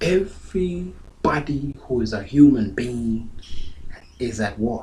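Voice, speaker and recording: The speaker uses lively intonation at a very slow pace. Audible room echo fills the recording. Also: man. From South Sudan. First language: Dinka. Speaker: pastor. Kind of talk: sermon.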